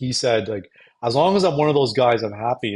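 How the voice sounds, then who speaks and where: A somewhat breathy man at a fairly quick pace, with ordinary pitch variation and a quiet background. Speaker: stand-up comedian. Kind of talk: casual talk to camera. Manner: unscripted, reflective.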